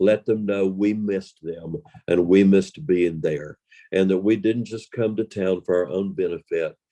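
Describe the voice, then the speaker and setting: The speaker has a dark, mellow tone and a Southern US accent. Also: man. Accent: Southern American. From Western North Carolina. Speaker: professional storyteller. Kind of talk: interview answer.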